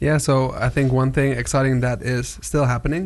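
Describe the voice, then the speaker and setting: A man talks at a medium pitch in an ordinary speaking voice. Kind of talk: casual interview. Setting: studio.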